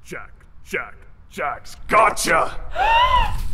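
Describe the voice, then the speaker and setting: A put-on character voice shouts at an extremely high pitch. The whole delivery is loud yelling. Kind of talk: audio drama. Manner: whispered, hissing.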